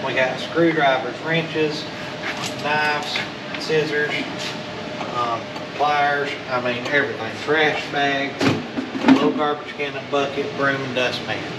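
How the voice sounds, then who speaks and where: Amid loud background noise, a man speaks with long, frequent pauses. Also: fairly slow pace. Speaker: storage unit reseller. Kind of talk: casual vlog chat.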